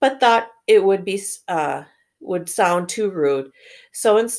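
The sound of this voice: The speaker uses an unforced reading voice with lively intonation against a quiet background.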